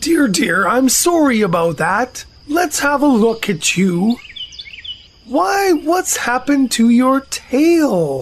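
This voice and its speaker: A female-sounding put-on character voice, pitched high for a woman. It swings very widely in pitch at a very slow pace. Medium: audio drama.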